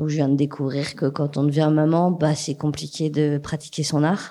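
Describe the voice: Her voice is low-pitched with a dark, mellow tone, and the woman speaks at a moderate pace with little pitch movement.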